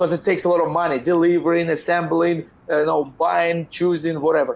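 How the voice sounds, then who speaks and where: At a very fast pace, a man with a Russian accent talks at a high pitch in a monotone, flat intonation with very even loudness. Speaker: business entrepreneur. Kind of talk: interview conversation.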